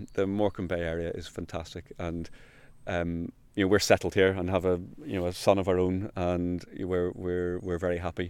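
Flat, monotone delivery in a Northern Irish accent at a moderate pace, on a very clean recording with a silent background. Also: man, very deep, low pitch for a man. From Northern Ireland. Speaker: countryside ranger. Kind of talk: interview. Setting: outdoors.

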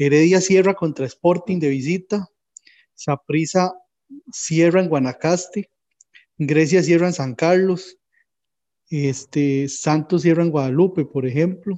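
A man with a high pitch and a dark, mellow tone speaks at a very slow pace, using ordinary pitch variation and long, frequent pauses. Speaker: football podcast co-host. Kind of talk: casual sports chat.

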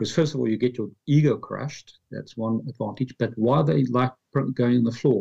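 The man's voice has a dark, mellow tone and medium pitch. It is somewhat breathy, with ordinary pitch variation. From South Africa, Pretoria. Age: 50s. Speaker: author. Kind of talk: interview.

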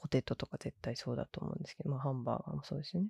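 Dry and close with no echo, a woman's somewhat breathy voice has a dark, mellow tone and lively intonation. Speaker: podcast host. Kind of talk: casual solo podcast talk.

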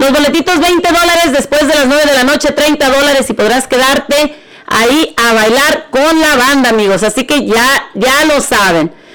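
Over noticeable background noise, a woman with a high pitch talks at a moderate pace in an animated tone, with ordinary pitch variation and very even loudness. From Mexico, Jalisco. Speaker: radio host. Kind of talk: radio show with event promos.

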